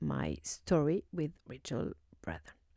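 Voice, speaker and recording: A woman with a French accent, in a very clean recording with a silent background and a dry, close sound with no echo. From France. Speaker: YouTuber. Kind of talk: casual commentary. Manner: halting, many fillers.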